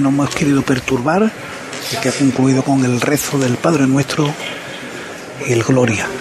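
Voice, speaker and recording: A man speaks at a moderate pace with a fairly high pitch. Noticeable background noise runs underneath. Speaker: radio commentator. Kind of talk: live radio commentary. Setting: radio broadcast.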